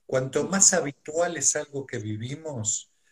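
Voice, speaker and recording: At a very slow pace, a man talks. His voice is somewhat breathy. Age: 50s. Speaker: psychotherapist and mindfulness teacher. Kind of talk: live stream interview. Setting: video call from home.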